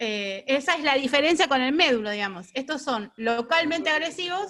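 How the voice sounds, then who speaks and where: A woman projects a raised voice with a bright, sharp tone and lively intonation. The recording is very clean, with a silent background. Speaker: radiation oncologist lecturer. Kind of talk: lecture. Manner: fast.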